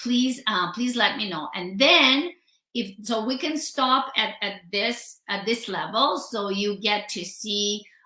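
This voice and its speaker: A woman talks at a very slow pace in a fairly high pitch. Her tone is bright and sharp, with ordinary pitch variation. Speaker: home stager. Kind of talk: live stream tutorial. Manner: animated.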